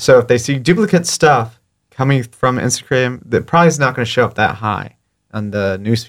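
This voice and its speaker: Recorded very cleanly over a silent background, a man with an American accent speaks in a normal speaking voice at medium pitch and a moderate pace, with ordinary pitch variation. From South Florida (Fort Lauderdale). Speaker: videographer and social media creator. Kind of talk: casual interview. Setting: studio.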